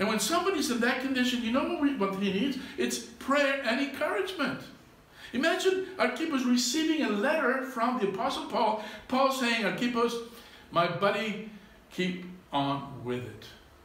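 The speech has lively intonation and a moderate pace. Room echo is audible. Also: man, extremely high pitch for a man. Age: 60s. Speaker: pastor. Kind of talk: sermon. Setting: church. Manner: halting. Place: church. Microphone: camera far.

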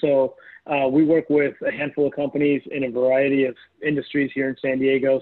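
The background is quiet as a man delivers his words at a fairly quick pace. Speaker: guest. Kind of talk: presentation to a class. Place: kitchen. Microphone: earbuds.

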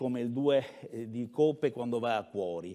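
A man talks fairly slowly, his pitch shifting in an ordinary way, with a quiet background behind him. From Veneto, near Padua; Veneto, Italy. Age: 60s. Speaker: mayoral candidate, former university rector; candidate. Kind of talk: political debate. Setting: stage with audience. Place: hall. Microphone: lapel.

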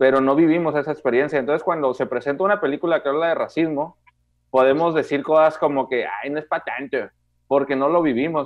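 In a quiet setting, a man speaks very fast at a fairly high pitch with fairly even intonation. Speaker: film podcast co-host. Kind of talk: casual chat. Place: home room. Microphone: video call.

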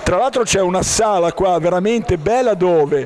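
The speech moves at a fairly slow pace with ordinary pitch variation. Light background noise sits underneath. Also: man. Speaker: local TV interviewer. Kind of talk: interview, promotional commentary. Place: bar. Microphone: handheld.

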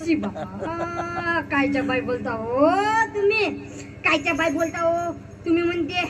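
A woman's put-on character voice, extremely high-pitched and at a fairly slow pace, over clear background noise. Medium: stage play. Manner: scolding, shrill, argumentative.

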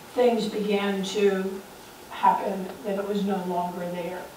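Audible room echo surrounds a woman's voice. She speaks at a fairly slow pace over light background noise. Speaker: former neighbor sharing memories. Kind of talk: storytelling to audience. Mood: warm, nostalgic. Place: hall. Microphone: camera far.

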